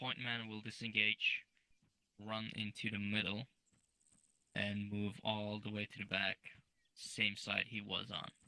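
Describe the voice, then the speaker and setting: A man with a fairly low pitch talks at a fairly slow pace in a monotone, flat delivery, with a bright, sharp tone, long, frequent pauses, and a dry, close sound with no echo. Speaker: military sim game instructor. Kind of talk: tutorial. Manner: loud.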